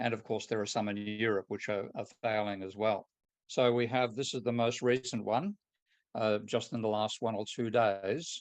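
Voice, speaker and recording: In an Australian accent, a man at a medium pitch speaks with monotone, flat intonation at a moderate pace against a quiet background. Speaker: economist. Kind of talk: lecture.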